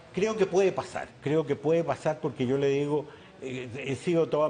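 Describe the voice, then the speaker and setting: A man's dark, mellow tone unfolds at a moderate pace. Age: 80s+. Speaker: business leader. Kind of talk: TV interview. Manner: halting.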